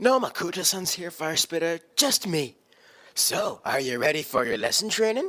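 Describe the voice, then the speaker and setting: A put-on character voice sits at a middle pitch and moves at a moderate pace. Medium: audio drama. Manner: playful, upbeat.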